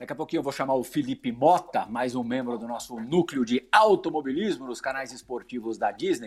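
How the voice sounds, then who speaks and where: A man talks at a fairly quick pace with hardly any pauses, in a plain, everyday voice of medium pitch and ordinary pitch variation. The recording is very clean, with a silent background. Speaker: sports TV host. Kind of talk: interview.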